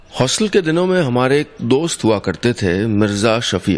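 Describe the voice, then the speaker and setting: This man's voice sits at medium pitch. Its pitch swings very widely. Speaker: radio storyteller. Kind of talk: radio story narration.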